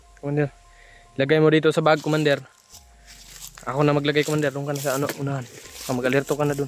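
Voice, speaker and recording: Through noticeable background noise, the speech runs at a very fast pace yet breaks with long, frequent pauses. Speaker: adventure vlogger. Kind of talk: outdoor vlog narration. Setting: outdoors, mountain creek. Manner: halting.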